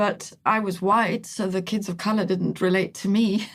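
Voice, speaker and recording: Recorded very cleanly against a silent background, a woman with a medium pitch speaks somewhat breathily at a moderate pace with fairly even intonation. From Italy. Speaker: team coach. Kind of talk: podcast interview. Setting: studio.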